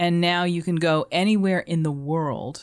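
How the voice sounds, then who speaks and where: In a very clean recording with a silent background, a woman with a normal speaking voice talks at a fairly slow pace and a fairly low pitch. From Boston. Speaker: food radio broadcaster and hospitality consultant. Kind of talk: casual interview.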